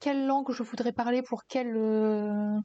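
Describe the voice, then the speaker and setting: Very slowly and with fairly even intonation, a woman speaks in a fairly high pitch with a dark, mellow tone. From northern France, mining basin near Lille. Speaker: streamer. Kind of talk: casual live-stream chat. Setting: live stream. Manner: hesitant, many fillers.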